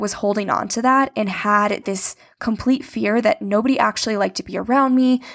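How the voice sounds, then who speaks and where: Speaking in an ordinary speaking voice, this woman keeps a moderate pace and shows ordinary pitch variation. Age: 20s. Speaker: podcast host. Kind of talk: casual solo talk.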